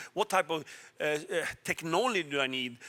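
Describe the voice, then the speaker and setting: A man's voice comes through bright and sharp at a fairly high pitch. The sound is dry and close with no echo, on a very clean recording with a silent background. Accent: Swedish. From Sweden. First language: Swedish. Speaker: telecom executive. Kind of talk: panel discussion.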